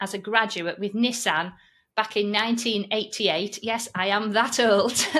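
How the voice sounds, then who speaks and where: With a Yorkshire accent, a woman speaks in a bright, sharp tone at a fairly high pitch on a very clean recording with a silent background. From Yorkshire, northern England. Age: 50s. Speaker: online course trainer and podcast host. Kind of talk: interview conversation.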